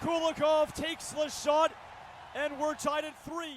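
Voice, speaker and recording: A man at a fairly slow pace, against noticeable background noise. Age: young. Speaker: hockey play-by-play announcer. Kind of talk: live commentary.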